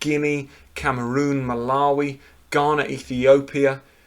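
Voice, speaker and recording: A man speaks with a British accent at a medium pitch. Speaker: football show host. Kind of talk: live stream commentary. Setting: live stream at home.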